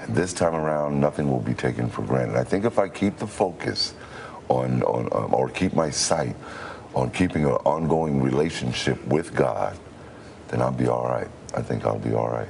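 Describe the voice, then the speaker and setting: Speaking at a moderate pace, a man with a very deep, low pitch shows ordinary variation in his pitch while noticeable noise sits in the background. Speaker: radio announcer, formerly homeless man, recovering addict. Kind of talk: TV news interview answer.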